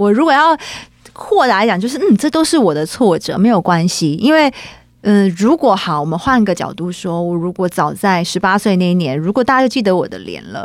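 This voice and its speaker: An animated woman's voice at a fairly quick pace, with very wide pitch swings. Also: medium pitch for a woman. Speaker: singer-songwriter. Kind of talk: interview.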